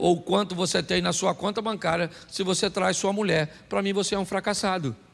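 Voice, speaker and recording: At a fairly quick pace, a man speaks at a high pitch with fairly even intonation and very even loudness. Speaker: pastor. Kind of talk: sermon.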